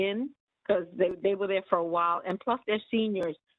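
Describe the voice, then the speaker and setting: Here a woman uses an ordinary speaking voice with fairly even intonation. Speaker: nursing home employee. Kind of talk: community board meeting.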